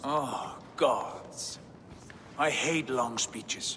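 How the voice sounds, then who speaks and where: Against clear background noise, a man uses a put-on character voice at a fairly high pitch. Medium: video game.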